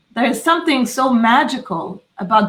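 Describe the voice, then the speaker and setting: A woman's somewhat breathy voice at a moderate pace, with lively intonation. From Israel. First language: Hebrew. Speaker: podcast host. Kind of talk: interview. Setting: live stream. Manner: halting.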